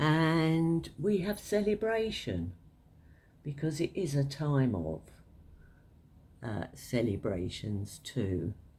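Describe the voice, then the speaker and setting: Very slow, with long, frequent pauses, a woman with a London accent speaks in a very deep, low, somewhat breathy voice, dark and mellow in tone, her pitch swinging very widely. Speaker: tarot reader. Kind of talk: tarot card reading to camera. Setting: at home, cards on a table. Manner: hesitant, many filler words.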